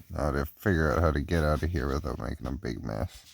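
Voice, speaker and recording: A man speaks at a moderate pace in a very deep, low voice with vocal fry. His pitch varies in an ordinary way. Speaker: outdoor gear vlogger. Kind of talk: casual vlog. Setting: outdoors in winter cold, then indoors. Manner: quiet, trying not to wake kids.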